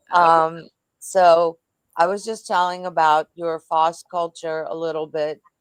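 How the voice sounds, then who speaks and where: A woman speaks in a fairly low pitch with monotone, flat intonation and a dry, close sound with no echo. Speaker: podcast host. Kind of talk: casual interview. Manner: loud; halting.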